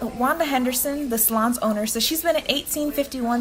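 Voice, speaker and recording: A woman with an American accent speaks at a fairly quick pace and a fairly high pitch. Her intonation is lively, and there is noticeable background noise. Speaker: student journalist, news reporter. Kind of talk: news reporter piece to camera, broadcast-style narration.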